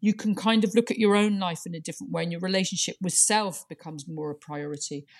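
Over a silent background in a very clean recording, a woman talks at a very fast pace with hardly any pauses and big swings in loudness. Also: medium pitch for a woman, ordinary pitch variation. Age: 50s. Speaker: writer and performer. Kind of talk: casual interview conversation.

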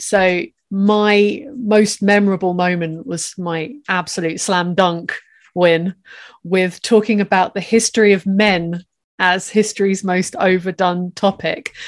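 An ordinary speaking voice from a woman, medium in pitch with fairly even intonation, on a very clean recording over a silent background. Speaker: podcast co-host. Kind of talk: casual chat.

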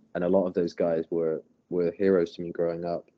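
A man speaking at a moderate pace. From England (Bath). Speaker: professional skateboarder. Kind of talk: casual chat.

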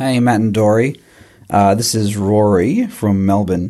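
The speaker is a man with an Australian accent. His pitch is fairly low. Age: 30s. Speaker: listener leaving voicemail. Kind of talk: voicemail.

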